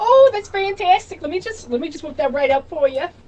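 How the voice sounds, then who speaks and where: A put-on character voice with an extremely high pitch. It moves at a fairly quick pace. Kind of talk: eager, service-like. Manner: cheerful, mechanical.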